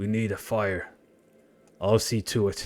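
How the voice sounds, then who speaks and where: A gruff, put-on character voice delivers the lines at a fairly slow pace. The intonation stays monotone and flat. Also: man. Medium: virtual streamer. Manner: muttering, gruff.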